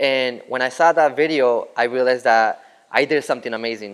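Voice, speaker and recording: A man's medium-pitched voice moves at a fairly quick pace, its intonation fairly even. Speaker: tattoo artist. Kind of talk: interview answers.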